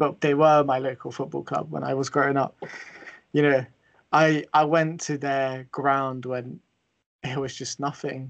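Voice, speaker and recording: Against a quiet background, a man talks in a fairly high, flat monotone, leaving long, frequent pauses. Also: fairly slow pace. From England. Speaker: football podcast host. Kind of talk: casual panel discussion.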